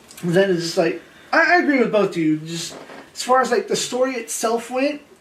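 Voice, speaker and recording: The speaker keeps a moderate pace with long, frequent pauses. Noticeable background noise runs underneath. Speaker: cosplay group member. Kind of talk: casual chat. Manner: halting.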